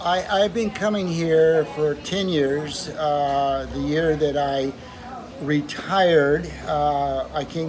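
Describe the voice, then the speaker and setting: The speaker has an American accent and ordinary pitch variation. Audible room echo and noticeable background noise are present. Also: man. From Southern California. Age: 70s. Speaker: retired dentist. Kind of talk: interview. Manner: halting.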